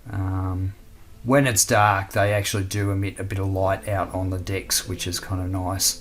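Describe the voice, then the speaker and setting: A somewhat breathy voice with an Australian accent, monotone and flat, at a moderate pace. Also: man, very deep, low pitch for a man. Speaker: scale model builder, video host. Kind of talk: hobby tutorial. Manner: casual, many fillers.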